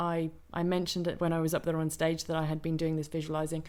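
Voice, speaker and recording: A woman speaks with a British accent. Her pitch is fairly low. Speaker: wellness coach. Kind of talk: interview.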